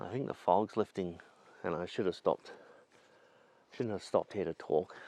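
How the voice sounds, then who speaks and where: A man's very deep, low voice with a dark, mellow tone, ordinary pitch variation and a dry, close sound with no echo. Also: moderate pace, quiet background. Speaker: landscape photographer vlogger. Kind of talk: casual vlog monologue. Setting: outdoors in forest. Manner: quiet; hesitant.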